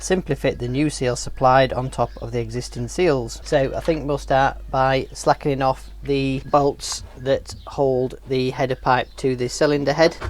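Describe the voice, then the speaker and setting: At a fairly slow pace, a man talks while noticeable background noise is present. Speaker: motorcycle vlogger. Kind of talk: tutorial. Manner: casual.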